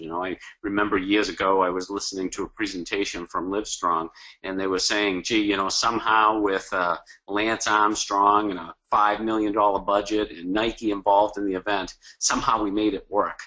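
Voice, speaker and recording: The speaker has a strong Boston accent and a fairly quick pace. Intonation stays fairly even. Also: man. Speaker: cause marketing consultant and author. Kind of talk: webinar presentation. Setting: online webinar.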